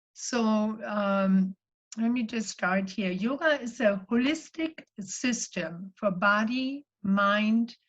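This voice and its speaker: Very slowly, a woman speaks in a fairly high, somewhat breathy voice. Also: ordinary pitch variation. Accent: German. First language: German. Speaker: spiritual life coach and yoga teacher. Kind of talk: sermon-style talk.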